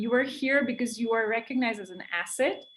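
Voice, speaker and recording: In an Indian accent, a woman speaks with a high pitch. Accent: Indian accent, noticeable. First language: an Indian language. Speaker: wildlife conservationist. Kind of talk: interview. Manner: many fillers, hesitant.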